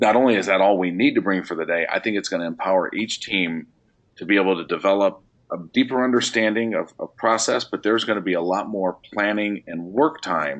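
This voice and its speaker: Here a man speaks at a fairly low pitch. His pace is fairly quick, with ordinary pitch variation. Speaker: education consultant leading a webinar. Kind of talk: webinar presentation. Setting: online webinar. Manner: fast.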